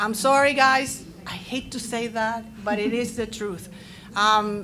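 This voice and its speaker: A woman with a Spanish accent, fairly high pitch and fairly slow pace, in audible room echo. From Latin America. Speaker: teacher and panelist. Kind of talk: panel discussion. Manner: loud; animated.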